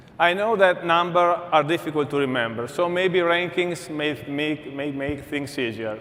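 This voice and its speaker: With an Italian accent, a man speaks at a moderate pace with hardly any pauses, his fairly high voice showing ordinary pitch variation amid audible room echo. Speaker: energy company executive. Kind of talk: conference keynote.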